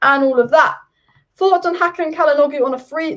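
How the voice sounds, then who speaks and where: In an English accent, a woman talks at a very fast pace in a high voice. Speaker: football youtuber. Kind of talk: live stream chat.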